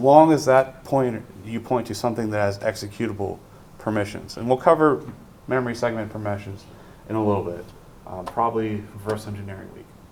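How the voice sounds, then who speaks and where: Amid audible room echo, a man talks at a fairly quick pace and fairly low pitch, with big swings in loudness. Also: ordinary pitch variation. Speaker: university lecturer. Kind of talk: lecture. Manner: fast; many fillers (um, uh).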